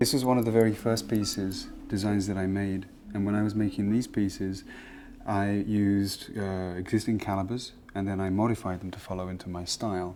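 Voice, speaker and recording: This man talks at a fairly quick pace in a fairly low pitch, with a dark, mellow tone and monotone, flat intonation. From England. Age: 40s. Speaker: watchmaker. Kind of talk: documentary interview.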